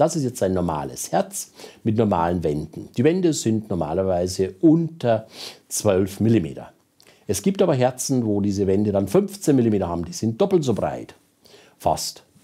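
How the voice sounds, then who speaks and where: A man with a Bavarian accent, fairly low pitch, very wide pitch swings, a dark, mellow tone and a fairly slow pace, over a quiet background. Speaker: cardiologist. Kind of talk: lecture. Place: studio. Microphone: lapel.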